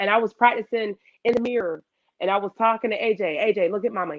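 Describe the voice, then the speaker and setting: A woman with an American accent, an animated tone and a very fast pace. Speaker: makeup artist and business owner. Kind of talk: casual interview chat.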